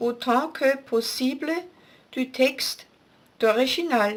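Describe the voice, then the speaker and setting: A woman talks very slowly with a German accent. Her voice is high-pitched, with ordinary pitch variation. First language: German (speaking French). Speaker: author. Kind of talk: scripted announcement. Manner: formal.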